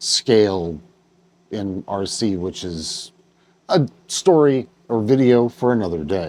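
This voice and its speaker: A man with an American accent, a fairly low pitch and lively intonation, at a very slow pace with long, frequent pauses. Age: 50s. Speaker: RC hobbyist YouTuber. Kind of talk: casual talk to camera.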